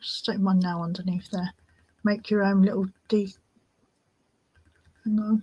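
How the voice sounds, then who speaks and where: Somewhat breathy, a woman with a British accent speaks at medium pitch in monotone, flat intonation, with long, frequent pauses. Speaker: crafting livestream host. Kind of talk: casual livestream tutorial. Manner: whispering at times.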